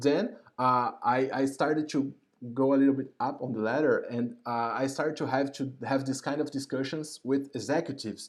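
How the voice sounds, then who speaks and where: A man speaks at a moderate pace in a medium pitch with a non-native accent. His intonation stays fairly even. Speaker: YouTube host, UX professional. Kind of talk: live stream interview introduction. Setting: home, live stream. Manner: halting, many fillers and repetitions.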